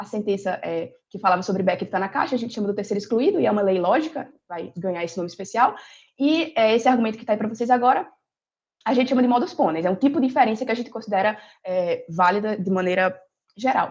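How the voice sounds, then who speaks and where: A woman talks at a very fast pace in a fairly high, somewhat breathy voice. Her loudness swings widely. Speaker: philosophy lecturer. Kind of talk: lecture. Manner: hesitant with frequent fillers.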